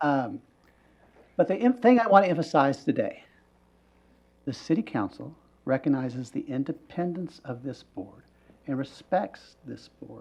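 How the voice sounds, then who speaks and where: Moderate pace with long, frequent pauses, in an American accent. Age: 60s. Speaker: city council member. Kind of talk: public meeting remarks.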